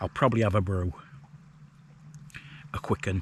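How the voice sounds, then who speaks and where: A man speaks with a very deep, low pitch. His voice carries vocal fry. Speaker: hiking and wild camping vlogger. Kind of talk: casual vlog monologue. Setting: outdoors, wild camp on moors. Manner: hesitant, many fillers; speaking quietly.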